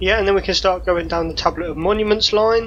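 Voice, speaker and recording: Music plays behind the speech. A woman talks in a mid-range pitch. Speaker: gaming YouTuber. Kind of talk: let's play commentary. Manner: casual, thinking aloud with fillers.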